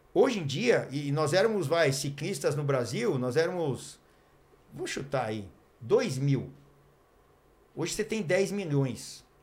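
Somewhat breathy and at a fairly slow pace, a man speaks with long, frequent pauses amid audible room echo. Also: fairly high pitch for a man. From Brazil, Mogi Mirim (São Paulo state). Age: 50s. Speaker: former pro cyclist and TV cycling commentator. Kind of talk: casual chat. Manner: hesitant, with many fillers.

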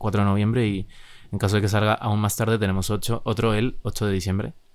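A man's fairly low, monotone, flat voice at a fairly quick pace, on a very clean recording with a silent background. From Chile, Santiago. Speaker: musician, band member. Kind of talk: casual interview chat.

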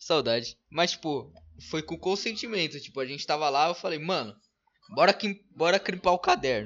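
A man's fairly high pitch and lively intonation at a moderate pace. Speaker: podcast host. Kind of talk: casual chat. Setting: live stream.

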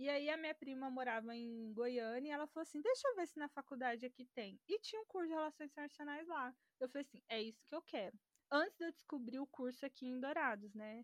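Speaking very fast, a woman with a high pitch uses ordinary pitch variation. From Brazil, interior of Mato Grosso do Sul. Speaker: international relations graduate and history student. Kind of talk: casual interview. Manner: talkative.

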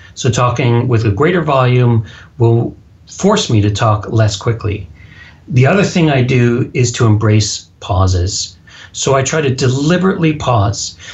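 Somewhat breathy, a man speaks with an American accent and lively intonation while his loudness stays very even. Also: medium pitch for a man, fairly slow pace. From US Texas. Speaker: public speaking coach and author. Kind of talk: casual interview. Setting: phone or Skype call.

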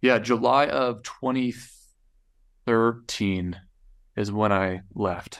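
In a very clean recording with a silent background, a man speaks very slowly with long, frequent pauses and ordinary pitch variation. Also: fairly low pitch for a man. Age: 20s. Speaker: entrepreneur. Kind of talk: casual chat.

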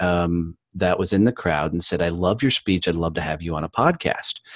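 A man with an American accent talks at a moderate pace, with a dry, close sound, no echo and a quiet background. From Texas. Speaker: business owner and podcaster. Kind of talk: casual interview chat. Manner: enthusiastic, animated.

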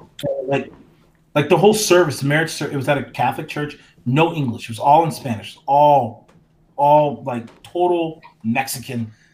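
A man with an American accent speaks at a moderate pace. His fairly high pitch is somewhat breathy and shows ordinary pitch variation. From North Carolina, US. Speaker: professor. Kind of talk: discussion.

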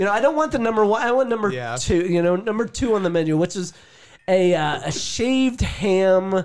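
On a very clean recording with a silent background, a man with an American accent speaks at a high pitch that makes very wide swings. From southeastern Ohio, near West Virginia border. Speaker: outdoorsman. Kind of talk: casual chat.

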